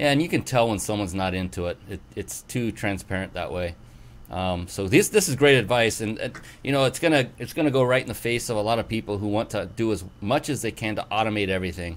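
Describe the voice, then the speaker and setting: An unremarkable speaking voice from a man with an American accent, fairly low pitch, lively intonation and a fairly quick pace. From US West Coast. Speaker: show host. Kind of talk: interview.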